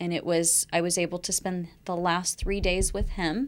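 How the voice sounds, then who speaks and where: A woman speaks in a normal speaking voice at a moderate pace. Her pitch is fairly low. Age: 40s. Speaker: breast cancer survivor. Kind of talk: interview.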